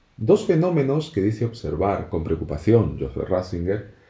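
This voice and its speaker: Pitch swings across a very wide range. There is some breathiness in the voice. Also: man. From Canary Islands. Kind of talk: religious radio talk. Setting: radio studio. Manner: halting, frequent repetitions.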